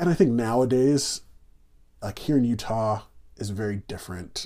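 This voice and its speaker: The recording is very clean with a silent background. A man with an American accent speaks at a moderate pace in a medium pitch with ordinary pitch variation. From New York City then Indiana. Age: 30s. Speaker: guest. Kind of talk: casual interview conversation.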